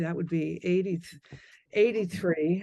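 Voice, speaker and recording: A woman talks with ordinary pitch variation. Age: 60s. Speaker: film biographer and widow of a movie star. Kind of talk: podcast interview. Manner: halting with frequent restarts.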